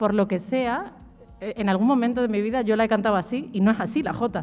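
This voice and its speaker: At a fairly quick pace, a woman with an Extremaduran accent talks in a fairly high pitch with ordinary pitch variation. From Extremadura, Spain. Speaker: singer and writer. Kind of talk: radio interview. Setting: live show with audience.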